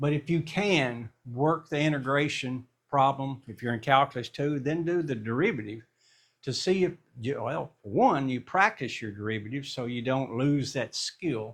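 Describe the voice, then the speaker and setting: Here is a plain, everyday voice: a man with a fairly high pitch. He speaks at a moderate pace with ordinary pitch variation. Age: 60s. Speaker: math teacher. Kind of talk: casual chat; tutorial. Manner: conversational.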